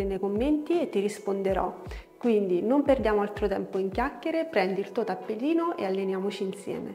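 A woman speaks at a fairly quick pace with ordinary pitch variation. Faint music plays in the background. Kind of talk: tutorial. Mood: calm, friendly. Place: home room. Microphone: lapel.

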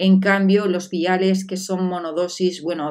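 Against a quiet background, a woman talks with a fairly low pitch. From Spain. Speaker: beauty vlogger. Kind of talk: product review vlog. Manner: animated. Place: home room.

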